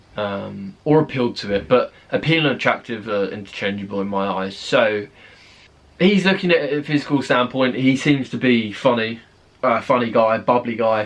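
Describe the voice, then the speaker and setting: A moderate pace in a British accent. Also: man, medium pitch for a man, lively intonation. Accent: British, fairly. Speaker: YouTube reaction creator. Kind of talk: video reaction commentary.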